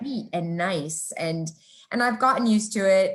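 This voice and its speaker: A woman speaks at a moderate pace with a medium pitch, lively intonation and a somewhat breathy sound. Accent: American. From New Jersey, then Norway from age 12. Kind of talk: casual chat.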